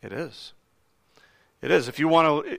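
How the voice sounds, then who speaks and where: Fairly high in pitch, a man's voice comes through a very clean recording with a silent background. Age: 40s. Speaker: pastor. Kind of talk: sermon. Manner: hesitant with fillers.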